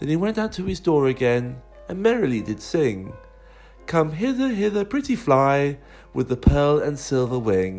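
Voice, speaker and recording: With music in the background, a man speaks at a moderate pace in a fairly high pitch, his pitch swinging very widely. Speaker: primary school teacher. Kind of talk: poetry reading.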